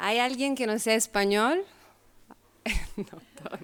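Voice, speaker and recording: Italian-accented speech from a woman. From Italy. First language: Italian (speaking Spanish). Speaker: sociology researcher and speaker. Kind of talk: lecture. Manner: halting.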